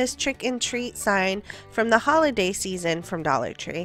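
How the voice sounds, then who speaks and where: The woman's pitch rises and falls in an ordinary way. Behind her, music can be heard. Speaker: DIY crafter. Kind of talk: craft tutorial narration.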